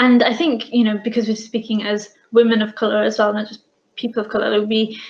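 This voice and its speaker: With a British accent, a woman talks at a fairly quick pace in a monotone, flat intonation, with music in the background. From UK; Bangladeshi heritage family. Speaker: business owner. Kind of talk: casual interview chat.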